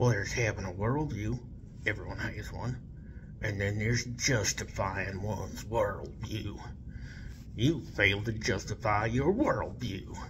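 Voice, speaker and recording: Through loud background noise, a man puts on a character voice at a fairly low pitch and a moderate pace. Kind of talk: comic reenactment of an online argument. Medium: solo performance. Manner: condescending, dismissive, evasive.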